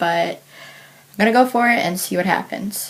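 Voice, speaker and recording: Over noticeable background noise, a woman talks at a medium pitch, her pitch shifting in an ordinary way. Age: 20s. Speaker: vlogger with chronic illness. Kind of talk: personal vlog.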